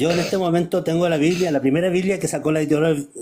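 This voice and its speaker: A man with a normal speaking voice, fairly high pitch and fairly quick pace. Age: 60s. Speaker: preacher. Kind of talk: casual chat.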